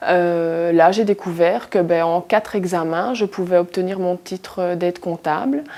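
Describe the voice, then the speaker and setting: Medium in pitch, a woman talks at a moderate pace in a normal speaking voice with fairly even intonation. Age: 20s. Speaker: accounting assistant, former factory worker. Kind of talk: interview answer.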